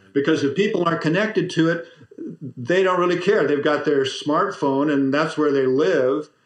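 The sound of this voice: There is audible room echo around a man speaking at a moderate pace in a fairly high pitch with ordinary pitch variation.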